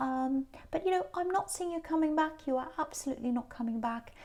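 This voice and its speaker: A speaker with a British accent talks at a moderate pace with lively intonation. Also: woman. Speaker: tarot reader. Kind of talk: tarot reading to camera. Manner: animated.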